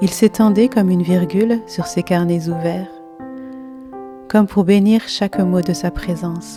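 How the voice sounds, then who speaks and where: A soft-spoken woman's gentle tone at a fairly slow pace, with long, frequent pauses and music in the background. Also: medium pitch for a woman, ordinary pitch variation. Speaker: watercolour artist and narrator. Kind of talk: poetic story narration. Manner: soft, gentle.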